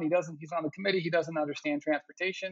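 This man's voice is fairly high. He has an American accent. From Arizona. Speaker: education policy professor. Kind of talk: interview. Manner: halting.

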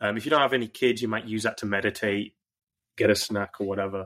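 The recording is very clean, with a silent background. A man with a medium pitch speaks at a fairly quick pace with fairly even intonation. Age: 30s. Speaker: performance coach for entrepreneurs. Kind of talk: podcast interview. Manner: hesitant, frequent ums and restarts.

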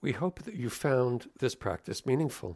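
A man speaks in a warm tone with vocal fry. The recording is very clean, with a silent background. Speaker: rabbi and podcast host. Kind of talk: podcast intro and interview. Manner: warm, formal, measured.

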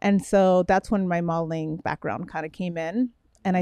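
An ordinary speaking voice from a woman at medium pitch, fairly slow and fairly even in intonation, dry and close with no echo. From Miami, Florida (born in Brooklyn, New York). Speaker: fitness champion and mentor. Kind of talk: casual chat.

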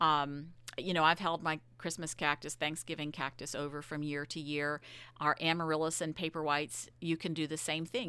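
In a very clean recording with a silent background, a woman with an American accent speaks at a moderate pace in a very deep, low pitch with a bright, sharp tone. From Virginia. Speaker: extension horticulturalist. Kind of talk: radio interview.

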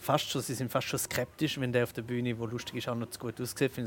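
In a flat, monotone intonation and a medium pitch, a man talks at a fairly quick pace. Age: 30s. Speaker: comedian and spoken-word artist. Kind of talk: casual interview. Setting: restaurant.

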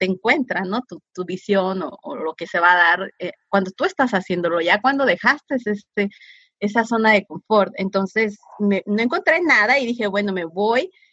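A woman talks fairly slowly with a bright, sharp tone, lively intonation and a fairly high pitch, recorded dry and close with no echo. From San Diego–Tijuana border region. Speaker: social entrepreneur. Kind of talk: interview. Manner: halting, many repetitions.

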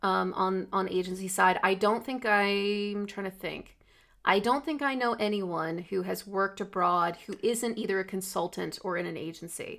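Here is a woman with a plain, everyday voice and an American accent, medium in pitch with ordinary pitch variation. She speaks at a moderate pace on a very clean recording with a silent background. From United States. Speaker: podcast co-host, marketing professional. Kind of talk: casual chat. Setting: recording from home.

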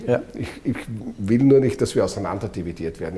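Somewhat breathy male voice, dark and mellow in tone, its pitch varying in an ordinary way. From Austria, eastern Styria. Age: 50s. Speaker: politician. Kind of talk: interview.

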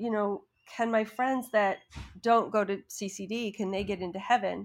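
A woman uses an ordinary speaking voice at a fairly high pitch, in an American accent with ordinary pitch variation. The recording is very clean, with a silent background. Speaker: acting coach. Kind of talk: storytelling.

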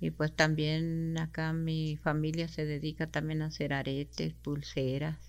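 In a Chihuahua accent, a woman speaks with a very deep, low pitch and monotone, flat intonation. The recording is very clean, with a silent background. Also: fairly slow pace, hardly any pauses. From Mexico, Sierra Tarahumara, Chihuahua. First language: Rarámuri (speaking Spanish). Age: 60s. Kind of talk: interview.

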